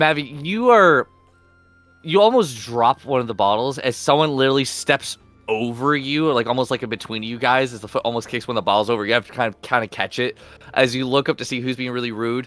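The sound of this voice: A man talks at a fairly quick pace with a fairly bright tone and a medium pitch. His pitch moves in an ordinary way, and faint music plays behind him.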